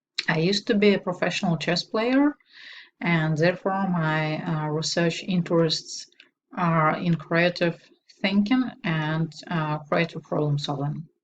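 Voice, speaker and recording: Speaking in a Russian accent, a woman uses a somewhat breathy, fairly low voice with ordinary pitch variation at a fairly slow pace. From Belarus. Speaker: doctoral student. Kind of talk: self-introduction. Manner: hesitant, with filler sounds.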